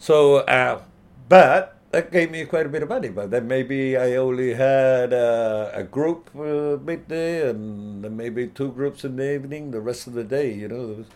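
Speaking fairly slowly, a man uses an unremarkable speaking voice, medium in pitch with ordinary variation. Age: 60s. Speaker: photographer. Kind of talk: interview storytelling.

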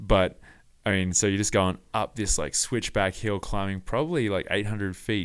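A man with an Australian accent, fairly low in pitch, with ordinary pitch variation and a moderate pace, in a very clean recording over a silent background. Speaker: worship pastor and mountain bike racer. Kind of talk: casual chat. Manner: hesitant, many fillers.

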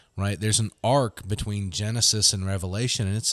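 Speaking at a fairly quick pace, a man with a fairly low pitch keeps his intonation fairly even on a very clean recording with a silent background. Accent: Southern US. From US South, Mississippi Gulf Coast. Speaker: Episcopal clergy. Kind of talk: casual chat.

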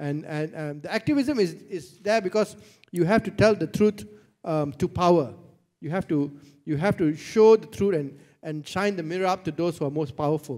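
A man with a high voice and ordinary pitch movement talks at a moderate speed. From Malaysia. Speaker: news site editor. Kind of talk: panel talk. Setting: stage with audience.

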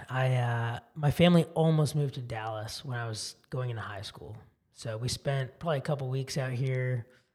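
A man with an American accent talks at a fairly quick pace in a somewhat breathy, medium-pitched voice with ordinary pitch variation. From California, Silicon Valley. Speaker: tech startup founder. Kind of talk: interview.

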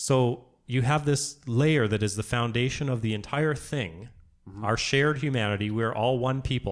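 Animated in tone, a man talks at a moderate pace in a medium pitch with ordinary pitch variation. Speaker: podcast host. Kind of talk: casual banter podcast chat. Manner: joking, animated.

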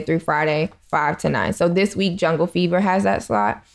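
A woman's ordinary speaking voice, fairly low in pitch, at a fairly quick pace. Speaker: podcast co-host and creative agency founder. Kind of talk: casual chat.

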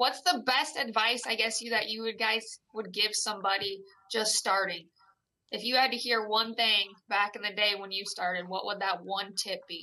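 A woman with an American accent, a fairly high pitch, a bright, sharp tone, fairly even intonation and a moderate pace. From Iowa, small town. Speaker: retail store employee and hunter. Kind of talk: interview questions in casual chat. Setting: video call.

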